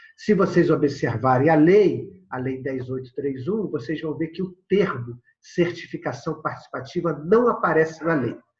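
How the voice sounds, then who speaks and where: His pitch sits fairly high for a man and varies in an ordinary way. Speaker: agroecology organization founder, lecturer. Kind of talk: recorded video lecture with slides. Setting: prerecorded remote presentation. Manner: fast.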